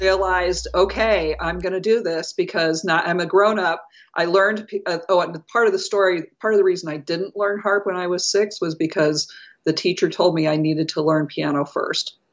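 Using a plain, everyday voice, a woman speaks at a moderate pace and medium pitch with fairly even intonation. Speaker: music coach. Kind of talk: interview.

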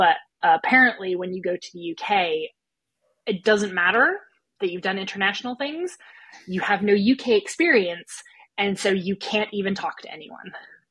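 A woman with an American accent and an ordinary speaking voice talks at a moderate pace and medium pitch, with ordinary pitch variation and big swings in loudness. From United States. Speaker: small business owner and business coach. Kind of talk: casual interview. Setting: remote call from Germany.

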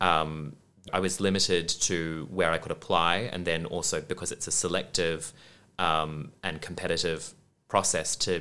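With an Australian accent, the voice has a bright, sharp tone and a fairly slow pace. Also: man. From Western Australia (Perth). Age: 20s. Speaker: musical theatre actor. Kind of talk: interview.

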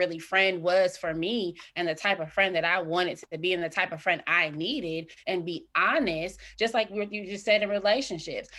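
A woman's bright, sharp voice at a moderate pace, fairly even in intonation and with hardly any pauses, on a very clean recording with a silent background. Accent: American. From Indiana, Fort Wayne. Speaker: mental health counseling student and author. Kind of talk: interview. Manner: halting.

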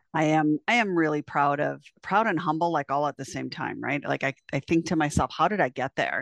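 With an American accent and vocal fry, a woman with a very deep, low pitch talks at a fairly quick pace and ordinary pitch variation, the sound dry and close with no echo against a quiet background. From US Midwest (South Dakota). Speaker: veterinary technician and educator. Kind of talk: interview.

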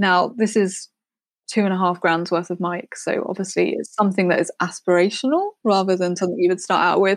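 A normal speaking voice from a woman, medium in pitch and fairly quick, with fairly even intonation, a quiet background and a dry, close sound with no echo. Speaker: music producer. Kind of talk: interview chat.

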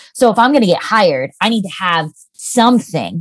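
In an ordinary speaking voice, a woman with an American accent talks at a fairly quick pace with lively intonation. The sound is dry and close, with no echo. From Lancaster County, Pennsylvania, US. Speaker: copywriter, business owner. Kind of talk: interview conversation.

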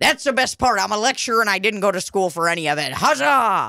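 The put-on character voice races along at a very fast pace with a middle pitch. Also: very clean recording, silent background. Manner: slurring, boastful.

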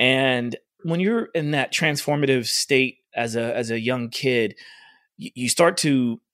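On a very clean recording with a silent background, a man with an American accent uses an ordinary speaking voice at medium pitch with ordinary pitch variation. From Oklahoma. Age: 40s. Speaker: fitness coach. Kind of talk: casual interview.

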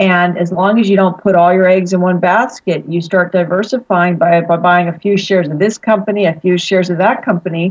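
Speaking with an American accent in an unremarkable speaking voice, a woman goes at a fairly quick pace with hardly any pauses, a medium pitch and fairly even intonation. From Pittsburgh, Pennsylvania. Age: 40s. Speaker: financial advisor. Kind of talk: interview.

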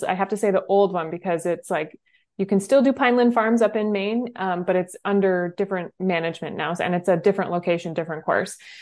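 In a normal speaking voice, a woman with an American accent talks at a medium pitch with ordinary pitch variation against a quiet background. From New Hampshire, US. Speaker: ultrarunning coach. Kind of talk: casual chat.

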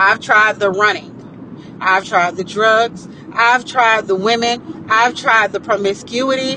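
Noticeable background noise sits behind a woman speaking at a fairly slow pace. Her voice is fairly high and animated in tone. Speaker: podcast host. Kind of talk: solo motivational monologue.

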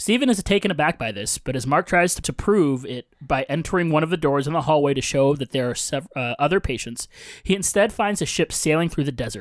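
An ordinary speaking voice, fairly high for a man, talks at a fairly quick pace with lively intonation and hardly any pauses, recorded very cleanly against a silent background with a dry, close sound and no echo. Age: 30s. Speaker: podcast host. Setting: home podcast studio, in person.

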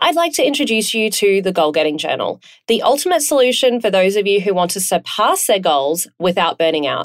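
A woman with an Australian accent talks at a fairly quick pace with very wide pitch swings. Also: medium pitch for a woman. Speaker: podcast host. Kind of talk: casual interview.

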